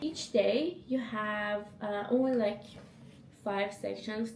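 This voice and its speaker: With a non-native accent, a woman speaks very slowly in a fairly high voice, amid audible room echo and noticeable background noise. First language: not English. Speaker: vlogger, data analyst. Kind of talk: casual vlog talk. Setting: at home.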